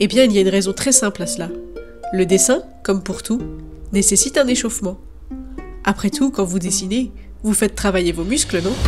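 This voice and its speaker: Over background music, a woman talks at a fairly quick pace with long, frequent pauses, her medium pitch showing ordinary pitch variation. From France. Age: young. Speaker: freelance illustrator. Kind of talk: drawing tutorial talk.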